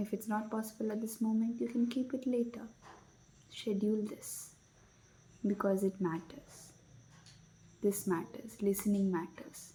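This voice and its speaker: A soft-spoken woman's fairly high voice, fairly even in intonation, with long, frequent pauses. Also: moderate pace. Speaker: spiritual self-help video creator. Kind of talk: reflective guided talk. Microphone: no microphone, less audible.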